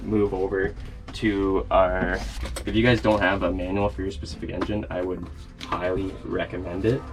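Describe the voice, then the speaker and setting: A man with a Canadian accent, with noticeable background noise. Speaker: sailing vlogger. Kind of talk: tutorial.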